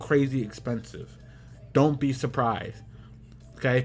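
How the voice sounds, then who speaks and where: A man speaks with music playing in the background. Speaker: gaming YouTuber. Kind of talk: casual commentary. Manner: rambling, repetitive phrasing; fast.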